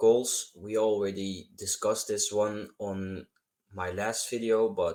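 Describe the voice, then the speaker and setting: A man speaking at a fairly slow pace on a very clean recording with a silent background. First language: not English. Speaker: self-improvement YouTuber. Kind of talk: advice tutorial monologue. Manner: halting, repeats words.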